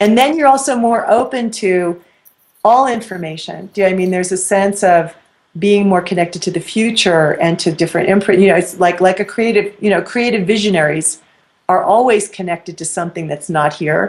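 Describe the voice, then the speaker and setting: Fairly quick in pace, a woman speaks with an American accent and an ordinary speaking voice. Her pitch is medium, with ordinary variation. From New York. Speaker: spiritual teacher. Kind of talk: interview. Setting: web show interview.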